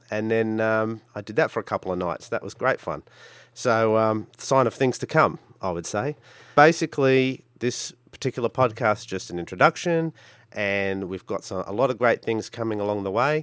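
With an Australian accent, a man speaks at a medium pitch and a moderate pace, with ordinary pitch variation, on a very clean recording with a silent background and a dry, close sound with no echo. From Australia, Brisbane. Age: 40s. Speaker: podcast host, hobby gambler. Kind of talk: solo podcast monologue. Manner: casual with frequent fillers.

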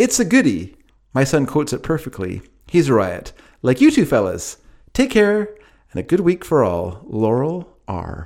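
Over a very clean recording with a silent background, a man with an American accent speaks at a moderate pace with vocal fry and very wide pitch swings. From United States. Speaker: podcast host. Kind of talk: casual comedic banter.

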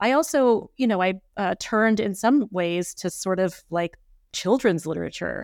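An unremarkable speaking voice with ordinary pitch variation goes at a moderate pace, in a dry, close sound with no echo on a very clean recording with a silent background. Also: woman. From Texas Panhandle. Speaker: art historian, professor. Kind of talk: interview about her book. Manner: thoughtful, many filler words.

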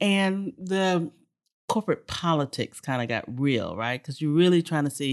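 Speaking with an American accent, a woman keeps a moderate pace and ordinary pitch variation. The recording is very clean, with a silent background. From Texas, Houston area. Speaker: energy executive and club president. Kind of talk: interview. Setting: club venue.

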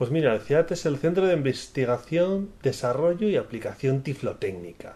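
Intonation rises and falls in a lively way. The tone is mellow and dark. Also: man. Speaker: director of a technology center for the blind. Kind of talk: interview.

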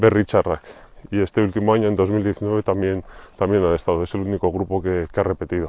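A man's fairly low-pitched voice at a moderate pace, flat and monotone in intonation. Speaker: music video blogger. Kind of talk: field recording vlog. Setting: outdoors. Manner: halting.

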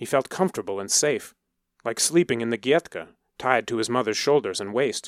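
Against a quiet background, the speaker is reading aloud in a natural voice with lively intonation.

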